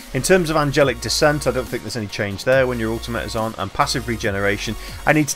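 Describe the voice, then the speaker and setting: A man rattles off his words very quickly while music plays behind him. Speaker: gaming video creator. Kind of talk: game commentary. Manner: quiet.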